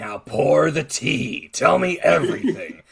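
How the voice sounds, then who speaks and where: A man puts on a gruff character voice, fairly high in pitch and delivered at a fairly slow pace. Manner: bossy, chatty.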